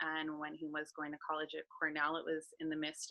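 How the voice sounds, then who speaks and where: A woman's very deep, low-pitched voice at a moderate pace, dry and close with no echo, over a quiet background. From US West Coast, Los Angeles. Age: 40s. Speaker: life coach and public speaker. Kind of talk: interview, personal story.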